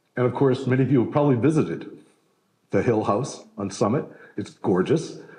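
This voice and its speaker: A man's somewhat breathy voice, medium in pitch and dark and mellow in tone, at a fairly quick pace amid audible room echo. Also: ordinary pitch variation. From Canada. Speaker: historian. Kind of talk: lecture. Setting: stage with live audience. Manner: conversational, with fillers.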